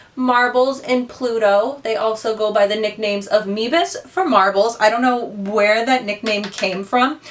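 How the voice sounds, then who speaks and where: Against noticeable background noise, a woman with an American accent talks at a fairly slow pace in an animated tone, her fairly high pitch varying in an ordinary way. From Ohio, US. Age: 20s. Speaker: beauty youtuber. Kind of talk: casual chat while doing makeup. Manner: chatty, animated.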